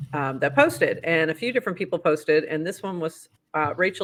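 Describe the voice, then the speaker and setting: In a bright, sharp tone, a woman talks at a moderate pace with a slight Boston accent. The recording is very clean, with a silent background. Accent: Boston accent, slipping in slightly. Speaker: podcast host. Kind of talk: casual chat, news roundup. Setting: livestream.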